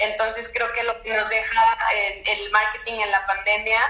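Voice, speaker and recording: A woman's fairly high voice at a fairly slow pace, with audible room echo and noticeable background noise. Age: 20s. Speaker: marketing expert. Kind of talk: interview.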